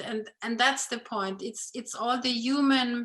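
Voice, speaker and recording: A woman speaks with a non-native accent and a bright, sharp tone. The background is quiet. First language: not English. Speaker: film director. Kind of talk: Q&A interview. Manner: halting, many repetitions.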